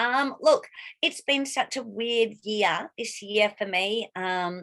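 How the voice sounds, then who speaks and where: This woman talks very slowly. Her fairly high voice shows ordinary pitch variation. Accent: Australian. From Australia (Victoria, Melbourne bayside). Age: 50s. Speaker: actress. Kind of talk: casual chat.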